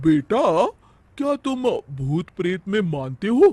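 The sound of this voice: A man speaks in a cartoonish character voice, high in pitch with a slightly mellow tone. His pitch swings widely, and he talks at a slow pace.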